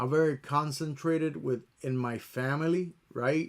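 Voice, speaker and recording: A man speaks with a Puerto Rican accent and fairly even intonation. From Puerto Rico. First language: Spanish. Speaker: YouTuber, music producer. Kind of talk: casual talk to camera. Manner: slow, halting; stutters when overthinking.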